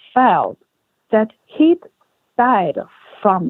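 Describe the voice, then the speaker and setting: A woman with a Chinese accent. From China. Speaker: author. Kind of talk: interview answer.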